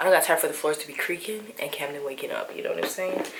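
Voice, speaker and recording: Quiet and at a fairly quick pace, a woman speaks in a room with audible echo and noticeable background noise. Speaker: lifestyle vlogger. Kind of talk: casual vlog. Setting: at home.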